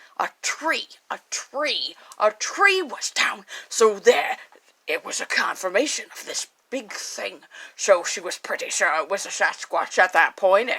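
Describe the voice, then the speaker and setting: Playful tone at a fairly slow pace, with big swings in loudness. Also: woman, high pitch for a woman. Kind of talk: late-night spooky radio host. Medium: solo performance. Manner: rambling, scattered, playful.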